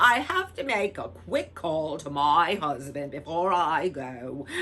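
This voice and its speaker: A put-on character voice at a middle pitch and fairly slow pace, over clear background noise. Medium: read story. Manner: brisk, impatient.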